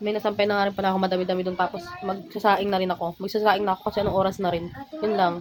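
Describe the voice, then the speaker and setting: Against noticeable background noise, a woman talks very fast at a medium pitch, with monotone, flat intonation. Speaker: vlogger. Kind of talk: casual vlog talk.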